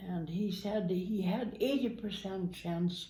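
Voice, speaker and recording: A woman's fairly low voice with vocal fry, at a very slow pace. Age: 80s+. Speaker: grandmother guest, telling story of her son's accident. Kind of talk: interview answer, recounting a story.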